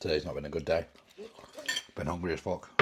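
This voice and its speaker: With an English accent, a man with a very deep, low voice talks very fast in a monotone, flat delivery over noticeable background noise. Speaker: bodybuilder and fitness coach. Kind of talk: vlog. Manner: casual.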